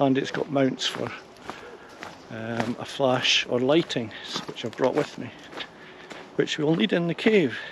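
A man speaks at a fairly slow pace with ordinary pitch variation. The sound is dry with no echo, against noticeable background noise. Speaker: hobby vlogger. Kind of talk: casual vlog chat. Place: forest. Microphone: phone near.

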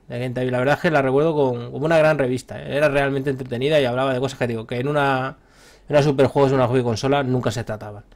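On a very clean recording with a silent background, a man speaks at a very fast pace. His medium pitch stays monotone, with flat intonation. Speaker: gaming podcast host. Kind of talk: casual chat.

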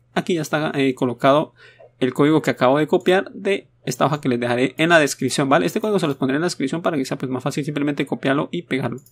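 A man at a very fast pace, his pitch fairly high, in a very clean recording with a silent background and a dry, close sound with no echo. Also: ordinary pitch variation. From Latin America. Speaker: gaming YouTuber. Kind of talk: tutorial. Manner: casual, hesitant.

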